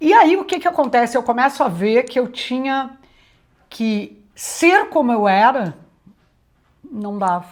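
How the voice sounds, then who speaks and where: A woman speaks at a fairly slow pace in a high voice. Her pitch swings very widely, and she leaves long, frequent pauses. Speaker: retired TV executive and journalism teacher. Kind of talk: interview. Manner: loud.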